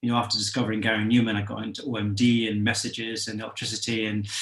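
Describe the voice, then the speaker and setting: A man speaks at a medium pitch with a slight Scottish accent. His intonation is monotone and flat. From Scotland. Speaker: musician. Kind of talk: interview. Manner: halting, many fillers.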